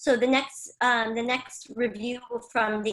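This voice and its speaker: A woman talks at a fairly slow pace with an American accent, her pitch fairly high. She has an ordinary speaking voice. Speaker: travel agency founder. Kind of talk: live-stream interview.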